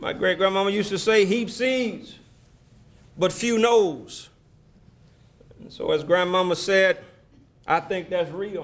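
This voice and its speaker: A man speaks in a high pitch with ordinary pitch variation. His pace is fairly slow, with long, frequent pauses. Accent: Alabama. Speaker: keynote speaker. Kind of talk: speech. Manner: preacherly, call-and-response.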